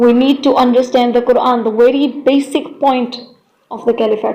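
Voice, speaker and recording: A woman talks with a non-native accent. Her high pitch stays monotone, with flat intonation. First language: not English. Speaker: Islamic content creator. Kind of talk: video monologue. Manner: halting.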